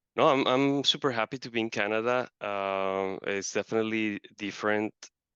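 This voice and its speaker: Delivered at a moderate pace with fairly even intonation, this voice carries a Colombian accent. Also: man, medium pitch for a man. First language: Spanish. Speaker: marketer. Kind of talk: interview.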